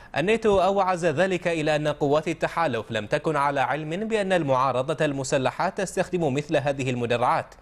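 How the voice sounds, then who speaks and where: A man with a fairly high pitch, an ordinary speaking voice, a moderate pace and hardly any pauses. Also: ordinary pitch variation, very even loudness. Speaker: news anchor. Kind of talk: news reading. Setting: studio. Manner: formal, measured, steady broadcast delivery.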